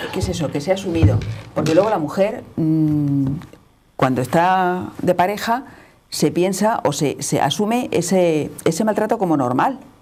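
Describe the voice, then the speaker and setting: Music plays behind a woman with a fairly low pitch. She speaks at a fairly slow pace with lively intonation. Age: 60s. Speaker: panel guest. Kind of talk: panel discussion.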